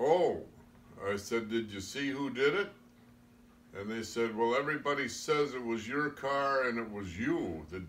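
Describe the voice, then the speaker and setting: Lively intonation from a man at medium pitch with a Midwestern US accent, at a fairly slow pace, with audible room echo. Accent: rural Midwestern American. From US Midwest, Iowa. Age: 80s+. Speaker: storyteller recounting his youth. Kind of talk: oral history storytelling. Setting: informal recorded interview.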